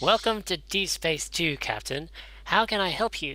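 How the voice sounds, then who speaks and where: Using a put-on character voice with high pitch, a man speaks in a very clean recording with a silent background. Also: moderate pace. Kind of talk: wheedling, nasal trader voice.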